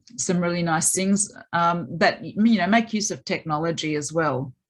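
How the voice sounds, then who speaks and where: A woman speaks at a fairly low pitch with an Australian accent and ordinary pitch variation. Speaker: maths education academic. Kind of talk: webinar presentation.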